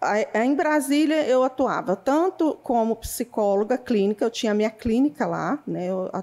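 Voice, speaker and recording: In a dark, mellow tone, the voice moves at a moderate pace with lively intonation. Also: woman, high pitch for a woman. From Goiás, Brazil. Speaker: psychologist. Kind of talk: interview.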